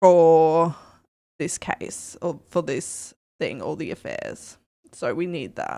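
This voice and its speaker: A woman's fairly low-pitched voice with an Australian accent. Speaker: streamer. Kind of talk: live gameplay commentary. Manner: casual, thinking aloud.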